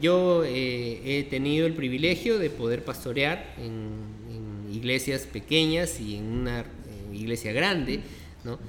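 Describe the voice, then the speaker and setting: A man talks at a very slow pace in a Peruvian accent. Noticeable background noise and audible room echo surround his voice. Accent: Peruvian Spanish (Lima). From Peru, Lima. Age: 50s. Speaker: pastor. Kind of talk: interview conversation. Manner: halting, many fillers.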